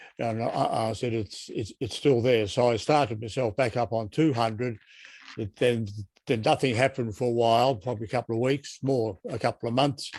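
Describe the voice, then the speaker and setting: A man in an Australian accent with fairly even intonation. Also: medium pitch for a man, moderate pace. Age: 80s+. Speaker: patient asking questions. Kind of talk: Q&A in online support group.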